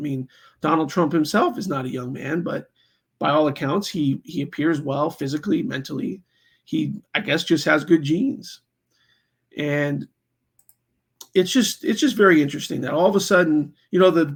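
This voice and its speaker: A man talks at a moderate pace in a high pitch with lively intonation. He leaves long, frequent pauses. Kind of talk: political commentary talk to camera. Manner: casual, conversational with many fillers.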